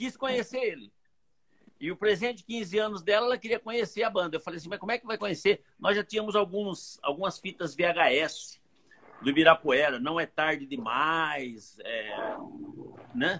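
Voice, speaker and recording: With a bright, sharp tone and high pitch, a man speaks at a moderate pace with very wide pitch swings, in a dry, close sound with no echo. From Brazil, Santo André (São Paulo). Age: old. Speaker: pastor and magician. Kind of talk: testimony.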